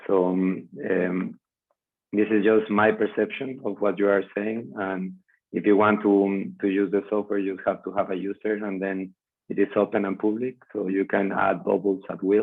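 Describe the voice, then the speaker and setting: In a Spanish accent, a man talks at a moderate pace with a fairly low pitch and monotone, flat intonation. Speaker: biomimicry practitioner and content creator. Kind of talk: video call discussion. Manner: halting.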